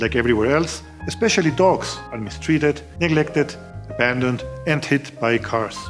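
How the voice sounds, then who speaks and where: A man with a German accent and very wide pitch swings, music in the background. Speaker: travel video maker. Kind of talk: documentary voiceover narration.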